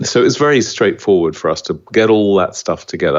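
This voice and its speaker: With an Australian accent, a man speaks at a very fast pace. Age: 60s. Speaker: small business founder. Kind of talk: podcast interview. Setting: podcast interview.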